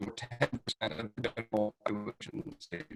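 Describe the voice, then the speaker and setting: A man talks at a very fast pace in a dry, close sound with no echo while music plays in the background. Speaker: state veterans program manager. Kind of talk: presentation. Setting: video call.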